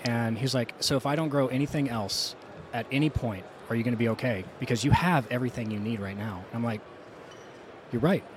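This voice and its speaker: A man talking at a fairly quick pace over noticeable background noise. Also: medium pitch for a man, ordinary pitch variation. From South Louisiana. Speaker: roofing contractor. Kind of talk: casual interview.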